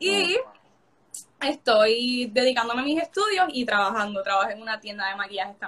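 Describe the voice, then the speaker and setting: Her animated tone is bright and sharp as a woman talks at a moderate pace and fairly high pitch with lively intonation. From Puerto Rico, Coamo. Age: young. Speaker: beauty pageant contestant. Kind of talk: casual interview. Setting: live stream.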